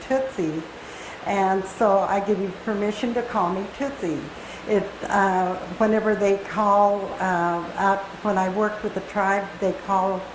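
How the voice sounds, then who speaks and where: Amid noticeable background noise and audible room echo, a woman speaks at a very slow pace with monotone, flat intonation. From Kamiah, Idaho (Nez Perce). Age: 70s. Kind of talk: personal talk to an audience. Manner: halting, many fillers.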